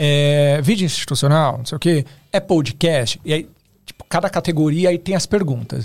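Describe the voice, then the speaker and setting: With a fairly high pitch and a somewhat breathy sound, a man speaks at a moderate pace with ordinary pitch variation and big swings in loudness. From Osasco, São Paulo, Brazil. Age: 30s. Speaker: photographer and video director. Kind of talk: casual podcast interview.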